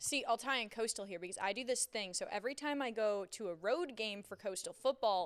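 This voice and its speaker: A woman with an American accent talks at a fairly quick pace with hardly any pauses. Her pitch is fairly high, with ordinary variation. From New York. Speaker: sports reporter and podcast co-host. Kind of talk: casual chat.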